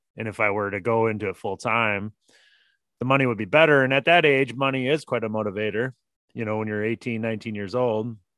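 Talking very fast in an Upper Midwest accent, a man keeps a medium pitch with ordinary pitch variation. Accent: Upper Midwest American. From US Midwest, Minnesota. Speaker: plumber. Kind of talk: casual interview.

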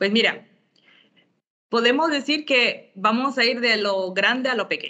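Her tone is bright and sharp, and this woman's pitch is high. She goes at a fairly slow pace with long, frequent pauses. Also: ordinary pitch variation. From Bolivia and Honduras. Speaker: impact investment fund expert. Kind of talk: interview.

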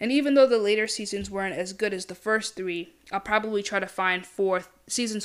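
Medium in pitch, a woman speaks in an unremarkable speaking voice at a moderate pace with ordinary pitch variation. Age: 20s. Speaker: podcast host. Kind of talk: casual solo commentary. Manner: casual, with filler words.

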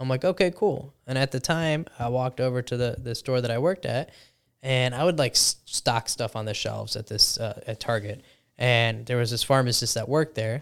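On a very clean recording with a silent background, a man with a Chicago-area accent speaks at a fairly quick pace and medium pitch, using ordinary pitch variation. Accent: Chicago-area American English. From US Midwest, Chicago suburbs. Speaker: pharmacist. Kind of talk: casual chat.

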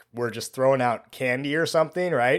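This man has a plain, everyday voice with an American accent, fairly high in pitch and ordinary in its variation. The recording is very clean, with a silent background. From United States, suburban. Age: 30s. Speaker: middle school teacher. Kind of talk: casual monologue.

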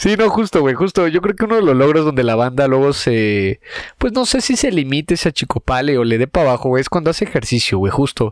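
A man with a Mexican accent speaks at a fairly quick pace and a fairly high pitch, with very wide pitch swings. His loudness stays very even, and the sound is dry and close with no echo. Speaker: comedy podcast co-host. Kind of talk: casual chat. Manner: animated.

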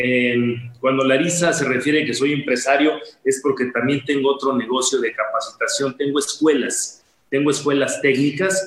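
At a moderate pace, a man is talking. His pitch is fairly high and his intonation fairly even. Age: 50s. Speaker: insurance advisor and coach. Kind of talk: interview. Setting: live online session.

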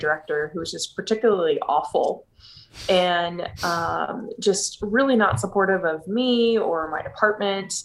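In an American accent, a woman uses an ordinary speaking voice at medium pitch with ordinary pitch variation. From Texas (Houston). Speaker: business owner. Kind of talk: interview.

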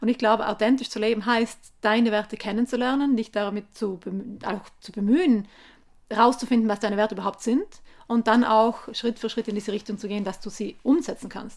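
A woman's fairly quick, fairly even delivery with big swings in loudness, on a very clean recording with a silent background. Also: fairly high pitch for a woman. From South Tyrol, Italy (Gasteig near Sterzing). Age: 30s. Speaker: environmental activist, author. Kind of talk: interview. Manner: hesitant, with fillers.

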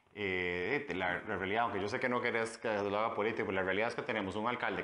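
There is noticeable background noise. A man speaks at a fairly quick pace with fairly even intonation. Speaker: politician, mayoral candidate. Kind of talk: interview.

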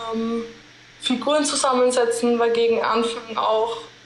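Over noticeable background noise and audible room echo, a woman speaks fairly slowly in a fairly high pitch with monotone, flat intonation. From Austria, Linz. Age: young. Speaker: medical student. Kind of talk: casual interview.

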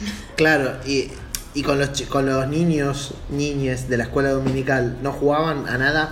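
Amid noticeable background noise and audible room echo, a man speaks fairly slowly at a fairly high pitch in a monotone, flat way. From Buenos Aires, Argentina. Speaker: podcast host. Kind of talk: casual chat. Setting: video call.

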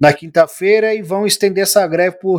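This man's voice has a dry, close sound with no echo and moves at a moderate pace. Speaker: political podcast host. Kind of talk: casual political commentary. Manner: animated.

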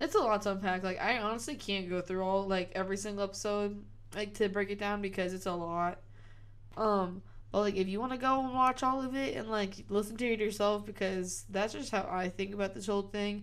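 A woman's voice at medium pitch, fairly quick in pace, with fairly even intonation and an unremarkable speaking voice. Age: 20s. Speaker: podcast co-host. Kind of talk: casual chat.

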